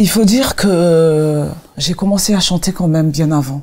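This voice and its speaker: A woman speaks at a very slow pace. Her voice is fairly low, with ordinary pitch variation. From Congo. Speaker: gospel singer. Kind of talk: interview. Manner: halting.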